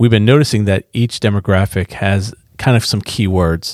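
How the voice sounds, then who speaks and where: A man's unremarkable speaking voice, fairly low in pitch, at a moderate pace on a very clean recording with a silent background. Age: 40s. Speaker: pastor and podcast host. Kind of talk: casual interview conversation.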